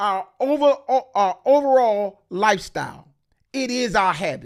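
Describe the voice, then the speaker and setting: Speaking at a very slow pace, a man with a high pitch makes very wide pitch swings on a very clean recording with a silent background. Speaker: ordained minister and pastor. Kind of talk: teaching, sermon-like talk. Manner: preacher-like speaking style.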